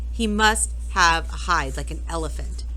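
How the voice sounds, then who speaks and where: A woman's put-on character voice over clear background noise. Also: moderate pace. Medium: read story. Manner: snide, cackling.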